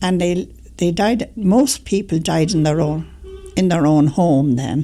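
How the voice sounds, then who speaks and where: Speaking at a fairly slow pace in a Dublin accent, a woman keeps her loudness very even. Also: fairly low pitch for a woman, ordinary pitch variation. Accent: Dublin Irish. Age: 80s+. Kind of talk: interview answer.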